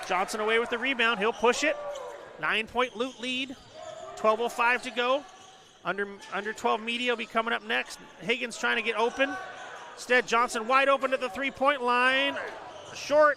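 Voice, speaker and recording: With noticeable background noise, a man in a raised, projected voice of extremely high pitch speaks with fairly even intonation and long, frequent pauses. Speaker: play-by-play announcer. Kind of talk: live commentary. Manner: fast.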